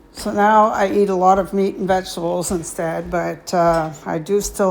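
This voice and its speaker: In a room with audible echo, a woman speaks in a fairly low voice with fairly even intonation. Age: 60s. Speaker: vlogger. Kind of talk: casual chat. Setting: home gym. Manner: hesitant, many fillers.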